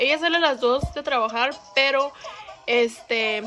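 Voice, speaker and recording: The speech is fairly slow. Clear music plays in the background. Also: woman. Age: 20s. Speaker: vlogger. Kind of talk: casual talk to camera. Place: home room. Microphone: phone near.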